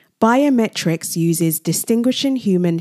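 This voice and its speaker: A woman speaks with a British accent and lively intonation. Her tone is dark and mellow, and the sound is dry and close with no echo. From grew up in England, Nigerian heritage. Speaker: podcast host. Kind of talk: solo podcast monologue. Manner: scripted narration.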